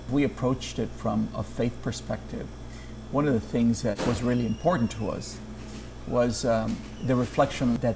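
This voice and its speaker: There is noticeable background noise behind the speaker. A man talks at a fairly slow pace. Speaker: founder and director of an immigrant shelter. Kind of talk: interview monologue. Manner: soft-spoken. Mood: soft-spoken, earnest. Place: home room. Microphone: lapel.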